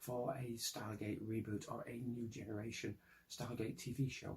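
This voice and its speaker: A man with a British accent, medium pitch, a somewhat breathy voice and fairly even intonation. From Britain. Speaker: science fiction writer. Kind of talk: pitch presentation to camera.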